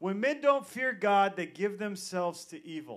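In a quiet setting, a man talks at a fairly slow pace. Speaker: preacher. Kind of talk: sermon. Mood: casual, joking. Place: church. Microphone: handheld.

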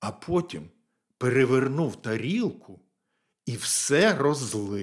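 Someone is reading aloud in a natural voice with lively intonation over a quiet background.

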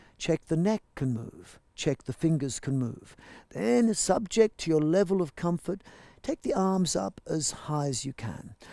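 Over a quiet background, a man talks at a fairly slow pace with very wide pitch swings, the sound dry with no echo. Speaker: yoga teacher. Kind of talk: class instruction.

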